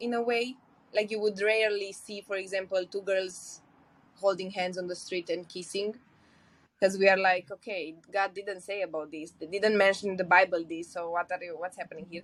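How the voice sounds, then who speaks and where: In a Romanian accent, a woman speaks at a medium pitch. Her pace is moderate and her intonation fairly even. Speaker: podcast guest, polyamory podcaster. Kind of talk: casual interview conversation.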